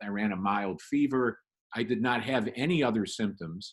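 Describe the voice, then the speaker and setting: Moderate-paced speech from a man at a medium pitch, with ordinary pitch variation. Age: 60s. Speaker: magazine writer and author. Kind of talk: casual interview chat. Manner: halting, repeats words.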